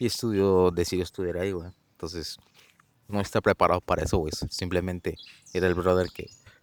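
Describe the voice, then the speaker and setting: A man with a Mexican accent speaks at a fairly quick pace. His very deep, low voice stays monotone and flat. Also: dry, close sound with no echo. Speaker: podcast co-host. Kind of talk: casual chat.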